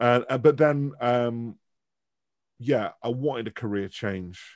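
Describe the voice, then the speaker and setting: Ordinary pitch variation in a Mancunian accent over a quiet background. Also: man. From Manchester, northern England. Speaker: professor of branding and culture. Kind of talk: casual interview chat. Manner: animated.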